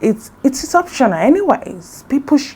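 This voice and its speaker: A woman with a Nigerian accent, lively intonation and a very slow pace. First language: Igbo. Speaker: beauty vlogger. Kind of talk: casual vlog talk. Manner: halting.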